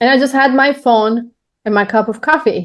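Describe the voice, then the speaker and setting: A woman with a Turkish accent speaks at a moderate pace. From Turkey. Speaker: podcaster, business owner. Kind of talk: interview.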